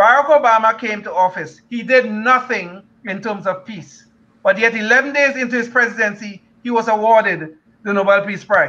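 A man's raised, projected voice with a non-native accent, high pitch, bright, sharp tone, ordinary pitch variation, big swings in loudness and a moderate pace. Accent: foreign-accented English. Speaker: retired engineer, panelist. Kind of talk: panel discussion. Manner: sarcastic, laughs often. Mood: critical, opinionated. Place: home room. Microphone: video call.

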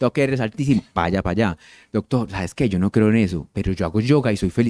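Very fast and with lively intonation, a man speaks in a dark, mellow tone, the sound dry with no echo and the background quiet. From Colombia, Medellín. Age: 40s. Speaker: endocrinologist. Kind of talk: public health talk. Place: hall. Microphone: handheld.

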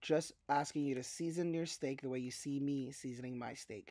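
A man at a moderate pace, ordinary pitch variation, a dry sound with no echo and a quiet background. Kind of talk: tutorial. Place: kitchen.

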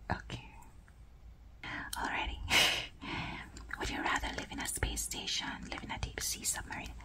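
A woman whispers. She leaves long, frequent pauses. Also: moderate pace. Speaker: ASMR creator. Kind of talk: ASMR game play talk to camera. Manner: whispered. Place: home room.

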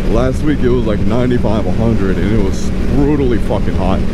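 The speech moves at a fairly quick pace, with a dry sound with no echo and loud background noise. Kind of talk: casual vlog chat. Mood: relaxed, cheerful, swearing casually. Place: motorbike. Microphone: helmet.

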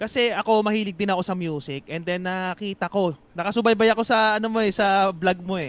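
A man speaks with a high pitch at a fairly quick pace. He hardly pauses at all. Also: ordinary pitch variation. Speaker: boxing channel host. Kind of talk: casual chat.

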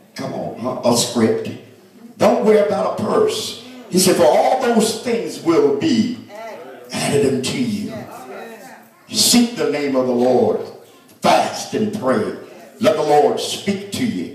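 A man at a very slow pace with long, frequent pauses, very wide pitch swings, and audible room echo. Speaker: minister at consecration. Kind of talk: sermon. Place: church.

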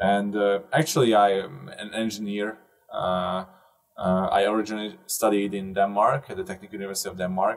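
A man with a plain, everyday voice speaks at a fairly quick pace, his pitch fairly low, over a quiet background. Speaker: remote interview guest. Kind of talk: interview answer. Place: booth. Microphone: earbuds.

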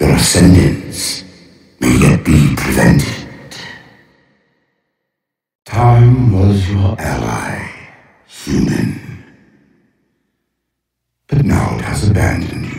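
A man's put-on character voice, low and slightly mellow with vocal fry, very slow with long, frequent pauses and big pitch swings

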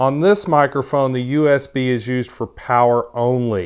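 A man speaks at a fairly slow pace with ordinary pitch variation. The background is quiet. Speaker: tech reviewer. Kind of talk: tutorial. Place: home room. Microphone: lapel.

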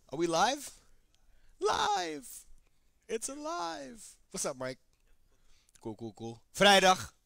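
A man at a fairly slow pace, the sound dry with no echo, over a quiet background. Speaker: fitness trainer. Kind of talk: casual livestream workout intro. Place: gym.

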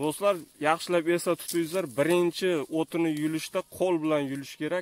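A man with a normal speaking voice, fairly quick pace and fairly even intonation, in a dry recording with no echo. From Uzbekistan, Jizzakh; Uzbekistan. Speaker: YouTuber; vlogger filming a farm visit. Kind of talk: casual vlog interview. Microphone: phone near.

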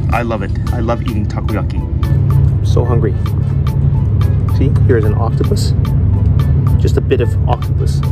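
Loud music plays in the background. Over it, a man is talking. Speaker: food vlogger. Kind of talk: casual vlog chat. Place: waterside. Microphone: phone near.

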